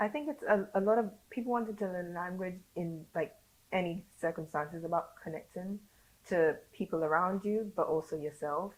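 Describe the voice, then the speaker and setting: With a London accent, a woman talks at a fairly quick pace with ordinary pitch variation and long, frequent pauses. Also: medium pitch for a woman. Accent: British (London). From born in Saint Lucia, raised in London. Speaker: educator teaching Creole. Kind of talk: podcast interview answer.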